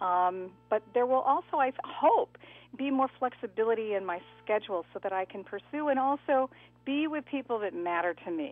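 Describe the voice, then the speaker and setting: A woman's high pitch, lively intonation and moderate pace over music in the background. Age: 60s. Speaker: retiring TV news anchor. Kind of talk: radio interview.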